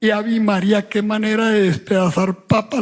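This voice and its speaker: The speaker has a Medellín accent. The pace is fairly slow. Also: man. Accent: Colombian, Antioquia (Medellín). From Colombia. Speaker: writer. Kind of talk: satirical monologue at book fair.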